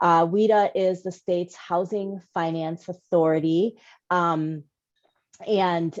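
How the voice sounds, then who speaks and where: A woman talks with a New York accent, her pitch fairly low and her intonation monotone and flat. The sound is dry and close, with no echo. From New York City. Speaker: housing finance executive. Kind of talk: panel presentation.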